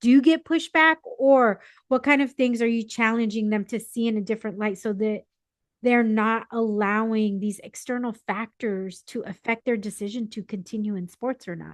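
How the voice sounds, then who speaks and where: A woman with a fairly high pitch speaks in an unremarkable speaking voice at a moderate pace, with ordinary pitch variation and big swings in loudness, the sound dry and close with no echo and the background quiet. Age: 40s. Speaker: podcast host. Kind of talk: casual chat.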